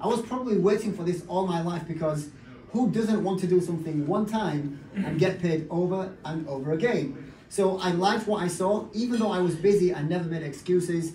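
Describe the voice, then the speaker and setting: Hardly pausing, a man with a high voice talks at a fairly quick pace with ordinary pitch variation, with audible room echo and noticeable background noise. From northern England, Bradford. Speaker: network marketing business leader. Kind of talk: motivational talk.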